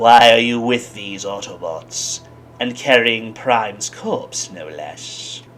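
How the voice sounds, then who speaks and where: A put-on character voice at a fairly slow pace. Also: man, medium pitch for a man. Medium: solo performance. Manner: sneering, theatrical.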